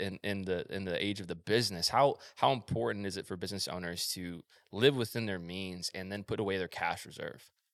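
A plain, everyday voice speaks at a fairly quick pace with ordinary pitch variation. The background is quiet. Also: man. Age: 20s. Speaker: podcast host. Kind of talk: casual interview chat.

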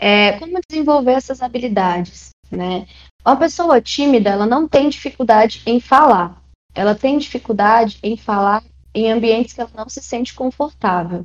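A plain, everyday voice from a woman, fairly high in pitch, with lively intonation and a moderate pace. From Brazil, Maranhão. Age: 20s. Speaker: tech recruiter, psychologist. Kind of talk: interview.

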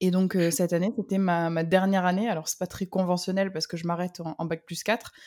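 Talking at a fairly quick pace with hardly any pauses, a woman with an unremarkable speaking voice keeps a medium pitch and fairly even intonation on a very clean recording with a silent background. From southern France. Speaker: copywriter and ghostwriter. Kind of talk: casual interview.

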